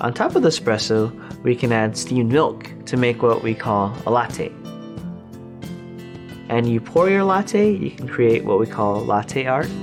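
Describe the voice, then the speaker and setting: The speech is fairly slow, broken by long, frequent pauses. Music plays in the background. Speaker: coffee maker, barista. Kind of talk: documentary interview answer.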